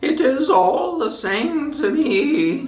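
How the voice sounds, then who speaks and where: High in pitch, this put-on character voice makes very wide pitch swings. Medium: read story.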